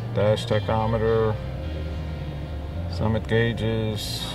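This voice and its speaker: Clear music plays behind a man speaking at a very slow pace. His pitch variation is ordinary, and the sound is dry with no echo. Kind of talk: commentary. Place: hall. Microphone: phone near.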